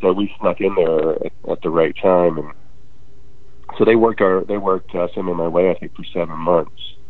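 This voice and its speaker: Over noticeable background noise, a man with a very deep, low pitch talks at a moderate pace in a monotone, flat intonation. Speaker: musician, band frontman. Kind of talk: interview chat.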